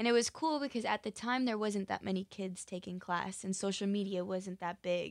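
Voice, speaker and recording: An ordinary speaking voice with an American accent talks at a moderate pace, with ordinary pitch variation and hardly any pauses. The sound is dry and close with no echo, in a very clean recording with a silent background. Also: woman, medium pitch for a woman. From Utah. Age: 20s. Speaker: dancer and actress. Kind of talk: interview.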